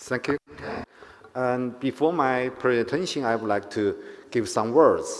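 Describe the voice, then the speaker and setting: Noticeable background noise sits behind a man with a Chinese accent. His medium-pitched voice keeps fairly even intonation. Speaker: conference speaker, company executive. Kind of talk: conference speech. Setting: conference hall with audience.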